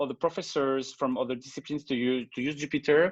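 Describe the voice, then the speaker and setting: A man with a French accent speaks at a fairly high pitch and a fairly quick pace. The sound is dry and close with no echo. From France. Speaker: teacher. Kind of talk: video call presentation and Q&A. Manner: halting, many fillers.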